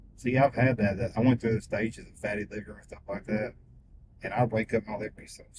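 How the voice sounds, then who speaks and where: With an American accent, this speaker talks at a fairly quick pace in a somewhat breathy voice, keeping a fairly even intonation while the loudness swings widely. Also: man. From Missouri. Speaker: rideshare passenger. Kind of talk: casual chat.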